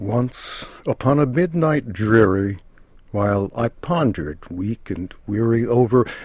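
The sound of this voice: The clip features an unforced reading voice. It holds that manner throughout.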